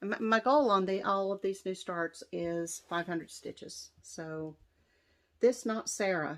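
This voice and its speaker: A woman with an American accent talks at a fairly slow pace and medium pitch with ordinary pitch variation, a plain, everyday voice on a very clean recording with a silent background. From West Virginia. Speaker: cross-stitch vlogger. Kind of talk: casual show-and-tell vlog.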